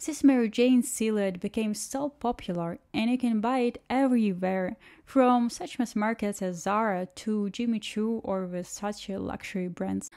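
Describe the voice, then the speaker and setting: A woman's fairly high, dark, mellow voice with a non-native accent, fairly slow with hardly any pauses and ordinary pitch variation, on a very clean recording with a silent background. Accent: noticeable non-native English. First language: not English. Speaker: shoe reviewer and channel host. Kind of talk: scripted narration with unboxing review.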